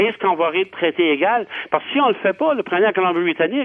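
The pace is fairly quick. Intonation rises and falls in a lively way. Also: man. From Acadia, New Brunswick. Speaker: member of parliament. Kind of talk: radio panel discussion.

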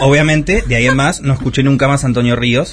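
A man speaks at a fairly quick pace with ordinary pitch variation. He has an unremarkable speaking voice. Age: 30s. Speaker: youtuber. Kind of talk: interview.

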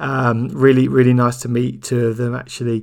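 A man speaks at a medium pitch with vocal fry. His pace is moderate and his pitch moves little.

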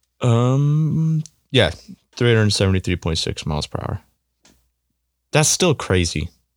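A man with an American accent makes very wide pitch swings and takes long, frequent pauses, his sound dry and close with no echo. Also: medium pitch for a man, fairly slow pace, very clean recording, silent background. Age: 20s. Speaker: college baseball player. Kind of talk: casual chat. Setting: home recording.

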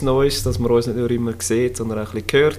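Over noticeable background noise, a man talks at a very fast pace, his medium pitch showing ordinary variation. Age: 30s. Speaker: podcast co-host, construction site manager. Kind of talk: casual chat.

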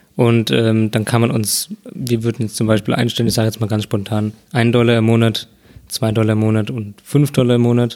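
A man at a medium pitch, fairly quick in pace, with fairly even intonation. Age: 20s. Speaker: podcast co-host. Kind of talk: casual chat. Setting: at co-host's home.

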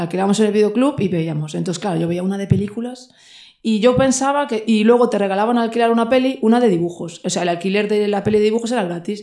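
A woman speaks very fast at a medium pitch, her tone dark and mellow. Her pitch moves with ordinary variation. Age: 30s. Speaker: shop owner and patch designer. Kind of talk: casual chat.

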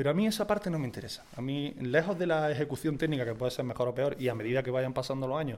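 The man's pitch is medium. His pitch variation is ordinary. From Andalusia, Spain. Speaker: painter and tattoo artist. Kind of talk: casual chat. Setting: outdoors.

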